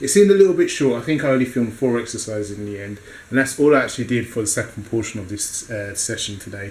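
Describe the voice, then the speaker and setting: A very fast man's voice with a British accent, ordinary pitch variation and big swings in loudness, over noticeable background noise. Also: medium pitch for a man. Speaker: fitness vlogger. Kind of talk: casual vlog.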